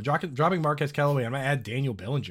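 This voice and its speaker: Somewhat breathy, fairly high male voice on a very clean recording with a silent background. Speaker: fantasy football analyst. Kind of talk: casual chat. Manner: animated.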